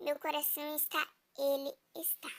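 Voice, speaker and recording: In a put-on character voice, a woman pitches her voice high. She keeps a moderate pace. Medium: read story.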